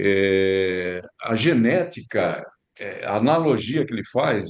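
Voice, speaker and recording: A man with an ordinary speaking voice and a fairly low pitch talks at a fairly slow pace with lively intonation. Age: 60s. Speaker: physician. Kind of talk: casual chat.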